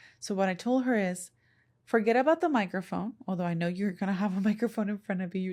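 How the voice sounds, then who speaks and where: On a very clean recording with a silent background, a woman with a Spanish accent speaks at a medium pitch, somewhat breathy, with ordinary pitch variation. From Puerto Rico. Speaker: podcast and content creation coach. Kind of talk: solo podcast talk. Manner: conversational.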